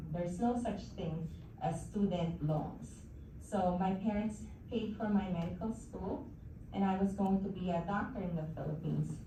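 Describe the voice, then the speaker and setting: A woman with a medium pitch talks at a moderate pace. Noticeable background noise runs underneath. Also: ordinary pitch variation. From Philippines. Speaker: oncologist and hematologist. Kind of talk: guest talk to an audience.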